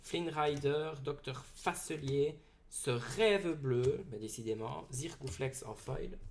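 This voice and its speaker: In a room with audible echo, a man speaks very slowly with a strong Belgian accent. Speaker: card game YouTuber. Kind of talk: booster pack opening video. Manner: loud, excitable.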